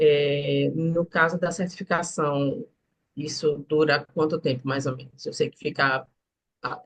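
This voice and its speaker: With a Recife accent, a woman speaks at a fairly slow pace in a very deep, low pitch, her voice somewhat breathy. Her loudness swings widely. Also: ordinary pitch variation. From Recife, northeast Brazil. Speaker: student asking a question. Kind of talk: live Q&A question. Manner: halting.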